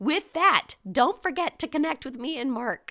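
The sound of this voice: A woman puts on a hoarse character voice with a high pitch and lively intonation. She keeps a moderate pace.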